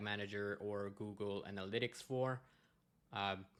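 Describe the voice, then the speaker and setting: With a French-Canadian accent, a man speaks fairly slowly in a fairly low pitch and a bright, sharp tone. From Quebec, Montreal. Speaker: data consultant. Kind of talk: conference presentation. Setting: conference talk. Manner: hesitant, many fillers.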